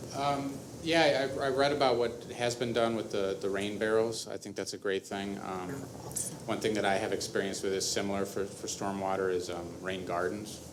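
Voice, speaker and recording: With an American accent, a man speaks at a moderate pace with a fairly low pitch and ordinary pitch variation, amid noticeable background noise and audible room echo. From US Midwest, Chicago. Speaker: environmental consultant, applicant for a volunteer committee. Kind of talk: public meeting interview. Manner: halting, many fillers.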